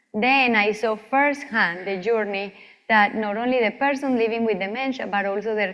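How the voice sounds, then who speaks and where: A woman with a Colombian accent, fairly high in pitch, at a moderate pace with ordinary pitch variation. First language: Spanish. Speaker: physician researcher. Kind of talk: lecture.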